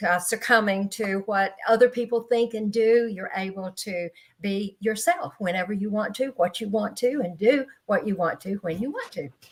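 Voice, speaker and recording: This woman speaks with a Southern US accent at a moderate pace, with hardly any pauses. Her pitch is medium with ordinary variation. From Florida, Panama City. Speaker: educator and motivational speaker. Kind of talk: panel discussion. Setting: live online video panel.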